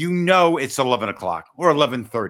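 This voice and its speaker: A man with a bright, sharp tone, high pitch and very wide pitch swings, in an American accent, on a very clean recording with a silent background. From US Midwest. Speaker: podcast host and parenting author. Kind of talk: casual chat. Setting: studio, streamed on video. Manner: not fast-talking.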